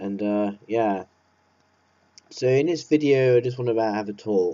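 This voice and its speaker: The pitch varies in an ordinary way, with an English accent. The pace is fairly slow. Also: man, medium pitch for a man. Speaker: vlogger. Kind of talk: casual monologue. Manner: halting.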